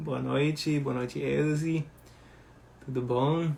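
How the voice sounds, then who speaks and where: A man speaks at a very slow pace. Noticeable background noise sits behind him. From Germany. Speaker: baker. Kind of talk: live Q&A stream. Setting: at home.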